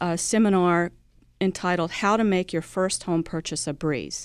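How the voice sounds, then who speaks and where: A woman's fairly low voice with an American accent, at a fairly slow pace and with fairly even intonation, on a very clean recording with a silent background. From US South. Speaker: credit union executive. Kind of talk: radio interview.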